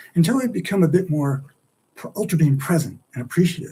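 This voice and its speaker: A man's very fast, somewhat breathy speech in a dark, mellow tone. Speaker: livestream host and author. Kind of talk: solo livestream monologue. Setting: live stream. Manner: animated.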